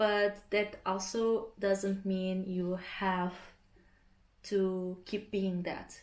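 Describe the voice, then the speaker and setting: A woman with a Portuguese accent at medium pitch, very slow and monotone, with flat intonation. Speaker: artist vlogger. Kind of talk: casual vlog talk. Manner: relaxed, hesitant with fillers.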